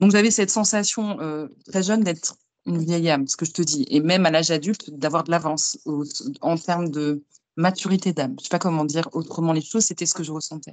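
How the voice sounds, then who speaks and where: With ordinary pitch variation, a woman delivers her words at a fairly quick pace. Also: fairly low pitch for a woman. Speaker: medium and tarot reader. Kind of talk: interview.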